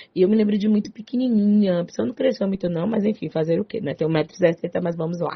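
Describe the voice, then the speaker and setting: A woman with a strong Bahian accent speaks in an animated tone. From Salvador, Bahia, Brazil. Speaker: psychologist radio host. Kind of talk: talk radio show.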